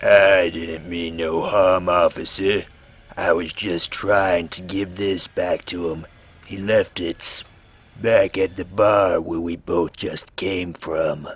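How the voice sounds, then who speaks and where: A put-on character voice from a man, very deep and low, raspy, monotone and flat, at a very slow pace. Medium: read story. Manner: rough, ungrammatical speech.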